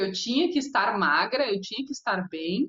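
A woman has an unremarkable speaking voice and keeps a moderate pace. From Porto Alegre, Rio Grande do Sul, southern Brazil. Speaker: TV presenter, celebrity gossip. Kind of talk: casual interview.

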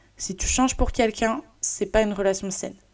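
A woman at medium pitch and a fairly slow pace, with ordinary pitch variation. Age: 20s. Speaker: podcaster. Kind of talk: solo personal monologue. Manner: halting, many fillers.

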